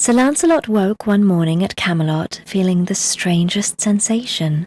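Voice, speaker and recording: Calm and soothing, a woman with a British RP accent speaks at a moderate pace with lively intonation. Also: medium pitch for a woman. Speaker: audiobook narrator. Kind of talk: bedtime story reading. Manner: calm, soothing.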